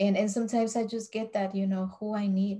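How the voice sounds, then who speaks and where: This woman's voice is somewhat breathy with a dark, mellow tone, sitting at a medium pitch and delivered in a monotone, flat intonation. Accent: Spanish. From Mexico. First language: Spanish. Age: 40s. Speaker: vlogger. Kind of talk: casual vlog monologue. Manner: hesitant, many fillers.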